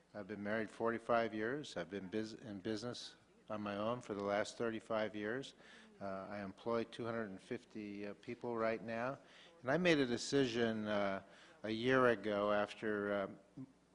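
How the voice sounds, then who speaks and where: This man has a normal speaking voice, pitched fairly low. He talks at a moderate pace with fairly even intonation. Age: 60s. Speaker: political candidate, business owner. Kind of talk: candidate forum statement.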